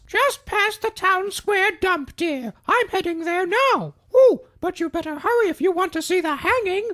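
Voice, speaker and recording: A squeaky, cartoonish character voice from a woman, extremely high-pitched, with lively intonation and hardly any pauses. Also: moderate pace. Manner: sweet, calls everyone dear.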